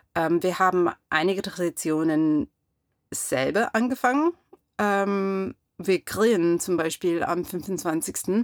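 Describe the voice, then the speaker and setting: With an English accent, a woman speaks at a very slow pace and a medium pitch. Her loudness stays very even, and the sound is dry and close with no echo. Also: ordinary pitch variation. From US Pacific Northwest (Clarkston, Washington). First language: English (speaking German). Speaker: interviewee, American immigrant. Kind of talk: casual interview. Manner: halting, many fillers.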